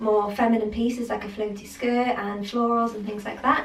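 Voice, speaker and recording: A woman speaks at a moderate pace in a fairly high pitch, her intonation monotone and flat. The recording has audible room echo and noticeable background noise. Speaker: fashion vlogger. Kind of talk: fashion haul / styling vlog. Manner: casual, chatty with many fillers; pitch going high at times.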